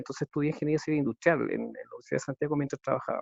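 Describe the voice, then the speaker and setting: This man's voice sits fairly high. His intonation is monotone and flat. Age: 40s. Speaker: engineer and consultant. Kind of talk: casual chat. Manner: halting.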